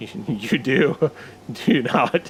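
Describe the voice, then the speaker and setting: Put-on character voice from a man, medium in pitch. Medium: game stream. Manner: warm, formal, grandiose.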